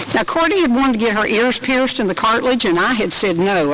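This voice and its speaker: Talking very fast in a Tennessee accent, a woman's fairly high-pitched voice makes very wide pitch swings. Audible room echo and noticeable background noise fill the recording. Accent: Southern US (Tennessee). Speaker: retired volleyball referee. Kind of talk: memorial eulogy.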